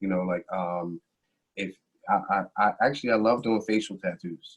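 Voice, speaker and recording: A man speaks in a plain, everyday voice at a fairly low pitch and moderate pace. His intonation is fairly even, and the sound is dry and close with no echo. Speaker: tattoo artist. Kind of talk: interview answer, casual talk. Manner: casual, conversational with fillers.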